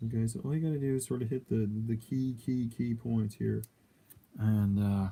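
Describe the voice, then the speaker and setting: At a moderate pace, a man speaks in a somewhat breathy, medium-pitched voice with a dark, mellow tone, ordinary pitch variation and very even loudness. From Canada, Alberta. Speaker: miniature painter streamer. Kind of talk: casual live stream tutorial. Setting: live stream. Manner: casual, hesitant with fillers.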